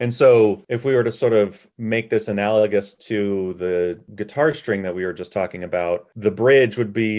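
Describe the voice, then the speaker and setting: A man speaks in an ordinary speaking voice at a moderate pace, his pitch fairly low and his intonation fairly even, against a quiet background. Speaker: podcast co-host. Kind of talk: educational podcast chat.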